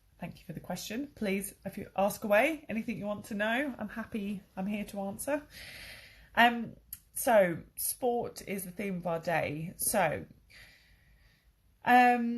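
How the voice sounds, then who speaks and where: A woman speaks at a medium pitch with a somewhat breathy voice, ordinary pitch variation and a fairly slow pace. Her loudness swings widely, and she takes long, frequent pauses. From southern England, Crawley. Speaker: English teacher. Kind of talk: online English lesson. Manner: casual, hesitant with fillers.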